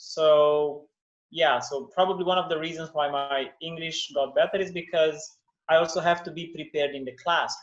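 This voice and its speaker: A man with a non-native accent speaks at a moderate pace in a fairly high pitch. His intonation is fairly even, but his loudness swings widely. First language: not English. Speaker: English teacher. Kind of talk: interview.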